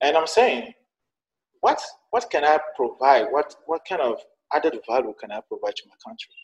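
Heard in a dry, close sound with no echo, a man with a Togolese accent speaks at a moderate pace with big swings in loudness and long, frequent pauses. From Togo, northern (Sokode). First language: Tem. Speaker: journalist and entrepreneur. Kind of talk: interview. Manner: halting, with frequent fillers.

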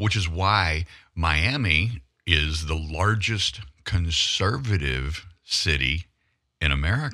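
A man's very deep, low voice in a Southern US accent, very slow, with vocal fry, a bright, sharp tone, lively intonation and very even loudness. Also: very clean recording, silent background. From US South, northern Louisiana. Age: 60s. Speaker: investigative photojournalist. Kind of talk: talk radio interview. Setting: studio.

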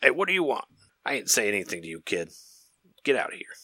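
In a gruff, cartoonish character voice of medium pitch, a man talks at a very fast pace with very wide pitch swings. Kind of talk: cartoon voice. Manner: angry, gruff.

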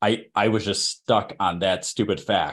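A man with a Chicago accent speaks at a fairly low pitch. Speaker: podcast co-host. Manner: casual, ranting.

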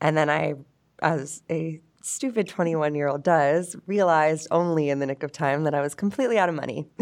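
A woman speaks with an American accent. Her pitch is very deep and low, and her pace is moderate. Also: ordinary pitch variation. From Pittsburgh area, Pennsylvania. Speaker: energy company worker. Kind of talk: casual interview. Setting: studio.

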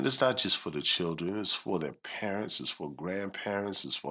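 A man's very deep, low voice with a bright, sharp tone, ordinary pitch variation, and a very clean recording over a silent background. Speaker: nonprofit executive director and community leader.

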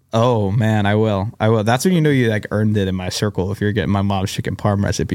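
Barely pausing, a man races along at a very fast pace with fairly even intonation and a fairly low pitch. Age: 20s. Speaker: podcast host. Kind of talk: casual interview chat. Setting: studio.

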